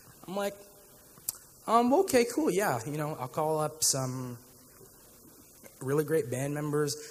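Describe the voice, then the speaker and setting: With audible room echo, a man speaks at a fairly high pitch. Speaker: worship leader. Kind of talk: testimony. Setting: church.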